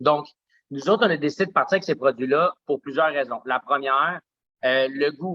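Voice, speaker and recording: A man's bright, sharp, fairly high-pitched voice at a moderate pace, with ordinary pitch variation and a dry, close sound with no echo. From Quebec (Saint-Eustache area), Colombian parents. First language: Spanish (speaking French). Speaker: smoothie bar owner. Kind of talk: podcast interview. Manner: many fillers and repetitions.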